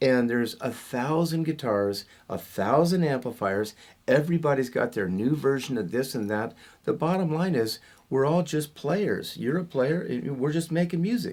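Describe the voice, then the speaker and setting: A plain, everyday voice from a man with a fairly high pitch, lively intonation and a moderate pace. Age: 60s. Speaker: rock guitarist. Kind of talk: interview.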